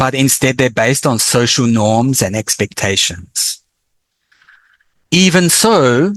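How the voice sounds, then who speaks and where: A man with an Australian accent speaks at a very slow pace, with long, frequent pauses. His pitch swings very widely while his loudness stays very even. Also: medium pitch for a man. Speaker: professor. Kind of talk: lecture.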